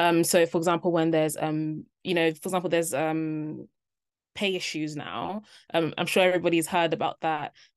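Before a quiet background, a woman with a London accent speaks in monotone, flat intonation at a fairly quick pace and fairly low pitch. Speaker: junior doctor. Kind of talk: interview. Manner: hesitant, many fillers.

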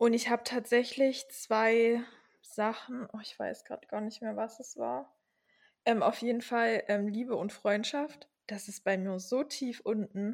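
An unremarkable speaking voice moves at a fairly slow pace with fairly even intonation and big swings in loudness. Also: woman, fairly high pitch for a woman. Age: 20s. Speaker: podcast co-host. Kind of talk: casual chat.

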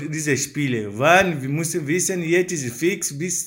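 The man's delivery has ordinary pitch variation and moves at a moderate pace. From Africa. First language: not German (speaking German). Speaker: father of four. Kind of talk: interview statement. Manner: halting.

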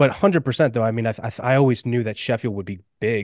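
The speaker uses an ordinary speaking voice with ordinary pitch variation. The sound is dry and close with no echo, over a quiet background. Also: man. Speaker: powerlifter. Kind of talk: casual chat.

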